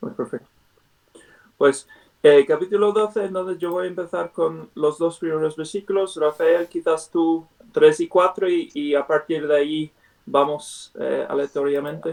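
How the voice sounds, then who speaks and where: This man speaks fairly slowly in a high voice, with ordinary pitch variation. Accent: non-native. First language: not Spanish (speaking Spanish). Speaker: Bible study teacher. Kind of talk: Bible study; prayer. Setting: video call. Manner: halting, many fillers.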